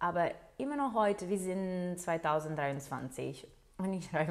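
A woman with a fairly low pitch talks at a fairly slow pace, her intonation lively. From Portugal. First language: Portuguese (speaking German). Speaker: nurse. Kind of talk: interview. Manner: hesitant, with many fillers.

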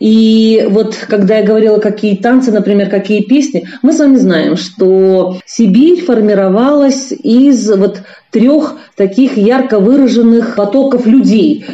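A woman's fairly high, somewhat breathy voice with a dark, mellow tone, ordinary pitch variation, very even loudness and a very slow pace. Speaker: linguist, university teacher. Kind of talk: expert interview. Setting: remote call from China.

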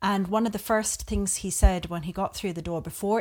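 A woman with an Australian accent speaks at a moderate pace in a medium pitch, her intonation fairly even, on a very clean recording with a silent background. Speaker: podcast guest. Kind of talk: casual conversation.

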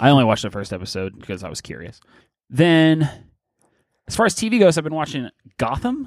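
With an American accent and a fairly high pitch, a man speaks at a very fast pace, with long, frequent pauses, big swings in loudness and very wide pitch swings, on a very clean recording with a silent background. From Pittsburgh, US. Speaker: podcast co-host. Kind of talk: casual chat.

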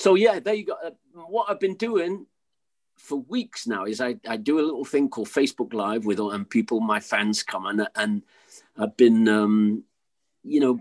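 Using very wide pitch swings around a medium pitch, a man with an English accent speaks at a moderate pace, the sound dry and close with no echo. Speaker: musician. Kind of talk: casual chat.

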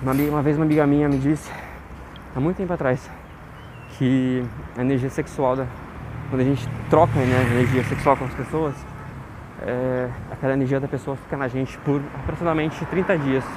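With noticeable background noise, a man speaks at a medium pitch and moderate pace, with fairly even intonation and long, frequent pauses. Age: 20s. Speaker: diary podcaster. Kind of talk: personal audio diary monologue. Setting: outdoors, walking home.

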